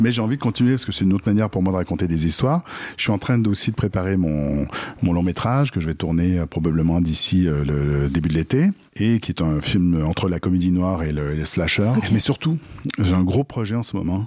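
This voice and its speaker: A man's very deep, low voice has a dark, mellow tone, moving at a fairly quick pace with lively intonation. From Quebec. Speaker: screenwriter. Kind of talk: interview. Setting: art gallery.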